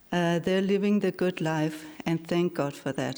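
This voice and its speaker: Her intonation fairly even, a woman speaks in a dark, mellow tone at a fairly low pitch. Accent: Danish. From Denmark, Aarhus. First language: Danish. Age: 60s. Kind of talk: personal testimony speech.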